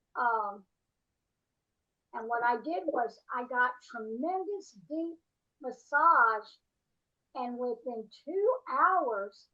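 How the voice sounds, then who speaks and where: A woman's high-pitched, bright, sharp voice with lively intonation, at a very slow pace with long, frequent pauses. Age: 80s+. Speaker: workshop participant. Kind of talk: casual chat.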